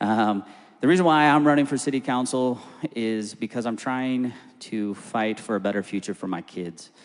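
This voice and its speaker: An ordinary speaking voice with an American accent, at a moderate pace with ordinary pitch variation. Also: man, medium pitch for a man. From Phoenix, Arizona, US. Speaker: political candidate. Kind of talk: candidate introduction.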